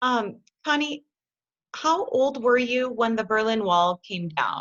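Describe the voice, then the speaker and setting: Speaking at a fairly slow pace, a woman with a plain, everyday voice uses lively intonation at a fairly high pitch. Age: 40s. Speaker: spa business owner. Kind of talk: interview.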